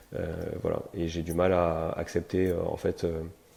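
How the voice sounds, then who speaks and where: In a monotone, flat delivery, a man with a very deep, low pitch has a dark, mellow tone. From France, Toulouse. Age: 40s. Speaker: real estate entrepreneur and investor. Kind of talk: podcast interview. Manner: hesitant, many fillers.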